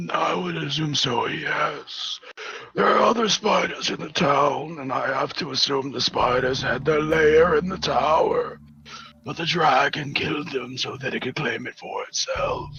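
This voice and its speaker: A man's raspy, put-on character voice, fairly high in pitch, at a moderate pace over clear background noise. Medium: actual play. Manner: dry, measured.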